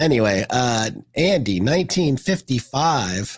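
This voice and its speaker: A man talks at a medium pitch with very wide pitch swings. His voice is somewhat breathy. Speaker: podcast co-host. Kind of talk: casual chat. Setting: live stream.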